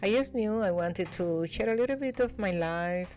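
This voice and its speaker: Moderate pace, ordinary pitch variation and a Spanish accent over noticeable background noise. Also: woman. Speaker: vlogger. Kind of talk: voiceover narration. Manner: calm; soft-spoken.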